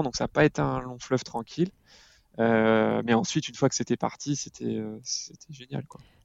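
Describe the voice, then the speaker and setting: A man talks at a fairly quick pace and medium pitch. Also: big swings in loudness. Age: 30s. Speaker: father and parenting blogger. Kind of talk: casual interview. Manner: halting, many repetitions.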